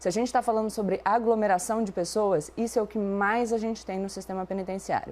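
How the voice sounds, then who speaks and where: Fairly quick speech from a woman, pitched fairly high, with normal ups and downs in pitch. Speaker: debate commentator. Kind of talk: debate. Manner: fast.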